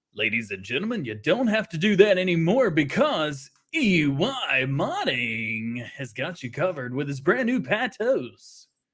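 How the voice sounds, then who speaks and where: A man puts on a character voice, pitched fairly high. His pitch swings very widely. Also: moderate pace, hardly any pauses. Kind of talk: announcer-like. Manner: salesy, enthusiastic.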